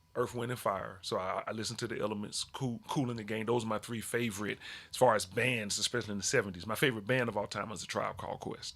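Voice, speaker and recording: A man talks at a very fast pace with hardly any pauses. His pitch is medium, and he has an American accent. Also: fairly even intonation. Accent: Southern accent others comment on. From Alabama, US South. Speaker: hip hop artist and educator. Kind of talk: radio interview.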